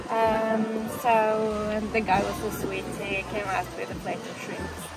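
A woman at a fairly slow pace, crowd noise behind her. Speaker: travel vlogger. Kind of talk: casual vlog chat. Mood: cheerful, laughing. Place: cafe. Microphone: phone near.

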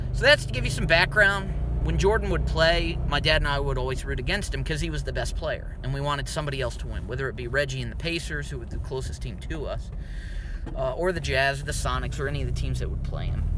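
A man with an American accent talks at a very fast pace in a dry sound with no echo, over noticeable background noise. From US, town without an NBA team. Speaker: basketball commentator. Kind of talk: monologue. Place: car. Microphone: phone near.

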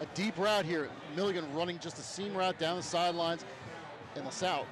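At a fairly quick pace, a man talks with ordinary pitch variation over noticeable background noise. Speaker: color commentator. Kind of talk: live sports color commentary analyzing replays. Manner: calm, explanatory, analytical.

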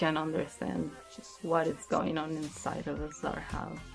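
Faint music plays behind a woman whose very deep, low voice shows ordinary pitch variation. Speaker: interviewee. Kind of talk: interview answer. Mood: serious, reflective. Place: studio.

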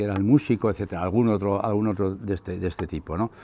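Over noticeable background noise, a man speaks with a dark, mellow tone, fairly low pitch and ordinary pitch variation. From Navarre, Spain (Larraga); Navarre, Spain. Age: 70s. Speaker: retired local historian and author. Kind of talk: book presentation talk. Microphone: lapel.

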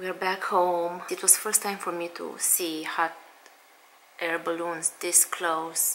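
A woman talks at a very slow pace and a fairly low pitch. Her intonation is monotone and flat, with light background noise. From Romania. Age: 30s. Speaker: stay-at-home mom vlogger. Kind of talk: casual talk to camera. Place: home room. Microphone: phone near.

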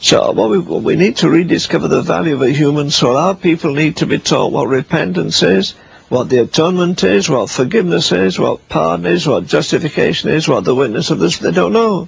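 A man's fairly high voice with very wide pitch swings at a fairly quick pace, dry with no echo, over light background noise. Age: 80s+. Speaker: evangelist. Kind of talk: interview answer. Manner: fervent, preaching. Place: home room.

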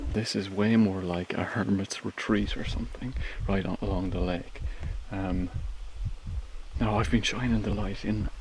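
A man's fairly low voice at a moderate pace, with ordinary pitch variation, long, frequent pauses, a dry sound with no echo and noticeable background noise. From Ireland. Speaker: travel vlogger. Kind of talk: vlog narration while exploring. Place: empty room. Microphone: phone near.

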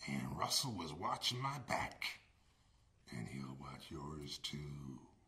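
A growling put-on character voice at a fairly slow pace. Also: man, very deep, low pitch for a man. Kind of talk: scripted testimonial in a comedy ad. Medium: comedy sketch. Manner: folksy, plainspoken. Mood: grateful testimonial.

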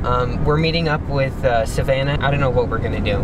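A man's voice comes through dry, with no echo. Loud noise fills the background. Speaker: vlogger. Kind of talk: casual vlog chat. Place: car. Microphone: phone near.

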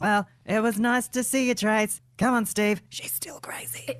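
At a moderate pace, the speaker puts on a cartoonish character voice with ordinary pitch variation. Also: woman, fairly high pitch for a woman. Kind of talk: adult cartoon comedy acting. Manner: saccharine, patronizing.

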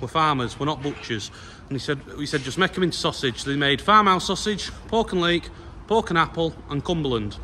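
A man talks at a fairly quick pace with lively intonation. Light background noise sits behind him. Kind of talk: casual vlog chat. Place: farm machine. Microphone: phone near.

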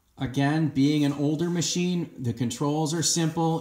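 Against a quiet background, a man speaks in fairly even intonation with audible room echo. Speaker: tractor owner reviewer. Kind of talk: tutorial. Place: garage. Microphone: phone near.

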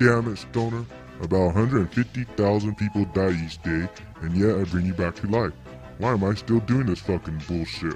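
Clear music plays in the background as a man speaks at a moderate pace. His voice is rumbling, with a fairly low pitch. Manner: exasperated, grumbling.

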